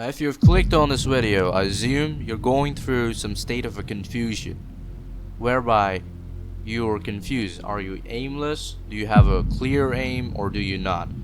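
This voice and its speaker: A man speaks with ordinary pitch variation over music playing in the background. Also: medium pitch for a man, moderate pace. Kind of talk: self-improvement talk to camera. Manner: stuttering, awkward pauses.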